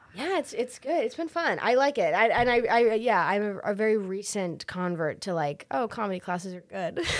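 A woman with an American accent, very wide pitch swings and hardly any pauses. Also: fairly high pitch for a woman, fairly quick pace. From Massachusetts. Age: 20s. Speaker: comedian and playwright. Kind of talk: casual chat. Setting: studio.

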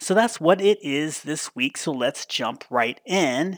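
A man speaks in an animated tone with very wide pitch swings at a moderate pace. The sound is dry and close with no echo, in a very clean recording over a silent background. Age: 50s. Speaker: podcast host and pop culture writer. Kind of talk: casual chat.

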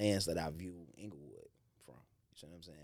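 A man with a very deep, low voice is heard with audible room echo. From Chicago, Englewood. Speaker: rapper. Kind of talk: casual interview.

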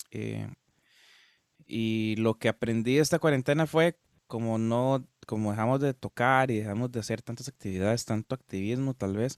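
Someone with a normal speaking voice talks at a moderate pace with ordinary pitch variation. The recording is very clean and dry, with a close sound, no echo and a silent background. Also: man. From Costa Rica, Guápiles. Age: 20s. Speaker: musician. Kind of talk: casual interview chat.

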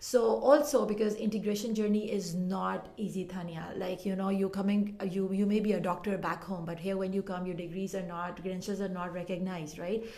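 A woman at medium pitch talks at a fairly quick pace with hardly any pauses. Her intonation is fairly even, and there is audible room echo. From Pakistan. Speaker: community development worker. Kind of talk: interview.

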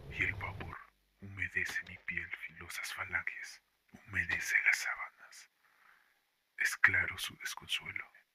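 A man whispering in a dramatic tone at a very slow pace. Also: long, frequent pauses. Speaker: horror story author narrating his own story. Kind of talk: dramatic horror narration, first-person reading aloud of a nightmare story. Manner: dramatic, tense, slow and deliberate with eerie pauses.

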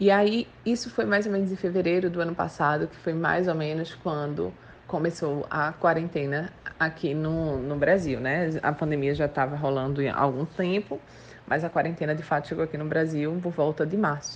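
A woman talks at a moderate pace. Her pitch is very deep and low, with ordinary variation. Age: 20s. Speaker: entrepreneur. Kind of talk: interview.

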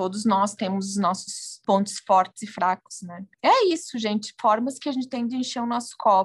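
A woman speaks with a fairly high, somewhat breathy voice at a moderate pace, with ordinary pitch variation. There are hardly any pauses, and the sound is dry and close with no echo. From southern Brazil, Rio Grande do Sul. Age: 30s. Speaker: journalist and food blogger. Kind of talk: casual interview chat.

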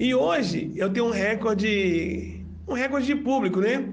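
A man talks with lively intonation. Audible room echo surrounds his voice. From Brazil, Belo Horizonte. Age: 40s. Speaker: political candidate and event producer. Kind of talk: interview.

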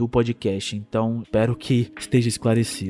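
A man talking at a fairly quick pace with music in the background. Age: 20s. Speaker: true crime podcast host. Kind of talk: casual chat, answering listener questions. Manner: relaxed, conversational.

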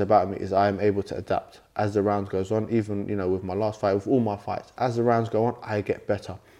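The voice moves at a fairly quick pace with monotone, flat intonation. The background is quiet. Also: man. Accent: London. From London, England. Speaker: Muay Thai world champion fighter. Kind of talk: interview conversation.

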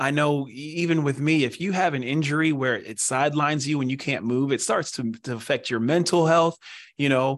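A man with an American accent and a normal speaking voice, fairly high in pitch, fairly quick, with ordinary pitch variation. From Pennsylvania. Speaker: former pro football player, foot care business representative. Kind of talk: interview.

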